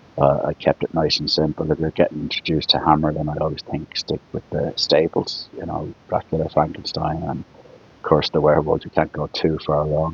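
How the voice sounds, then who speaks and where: A man with a very deep, low voice speaks at a fairly quick pace in a relaxed tone, his intonation monotone and flat. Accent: Dublin. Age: 60s. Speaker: YouTuber, film collector. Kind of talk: casual vlog monologue. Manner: relaxed, unscripted with fillers.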